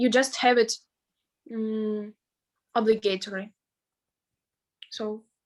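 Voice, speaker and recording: A woman with a Russian accent talks very slowly at a fairly high pitch in a flat monotone, leaving long, frequent pauses. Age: 20s. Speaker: veterinary student. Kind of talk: interview. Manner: halting.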